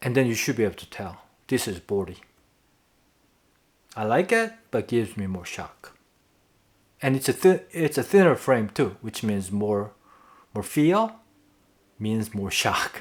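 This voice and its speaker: The speaker has a non-native accent and talks at a fairly slow pace. Long pauses come often. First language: not English. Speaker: tennis video creator. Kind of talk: casual tutorial to camera. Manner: halting, with self-corrections.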